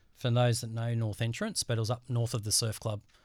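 Very clean and with a silent background, this recording has a man with an Australian accent speaking at a very fast pace. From Australia, Central Coast of New South Wales. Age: 40s. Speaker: bodysurfer. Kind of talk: casual interview. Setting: studio.

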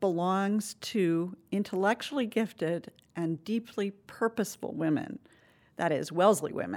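In a very clean recording with a silent background, a woman speaks in a plain, everyday voice. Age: 60s. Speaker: college alumna. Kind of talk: recorded personal interview.

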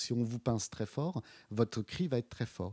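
The recording is very clean with a silent background. A man speaks in a dark, mellow tone. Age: 50s. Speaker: visual artist and curator. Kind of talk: interview. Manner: halting, many repetitions and fillers.

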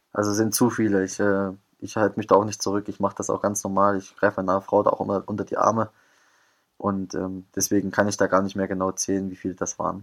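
In a very clean recording with a silent background, a man with a fairly low pitch speaks at a very fast pace in a monotone, flat intonation. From Thuringia, eastern Germany. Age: 20s. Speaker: professional footballer. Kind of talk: interview. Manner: hesitant, many fillers.

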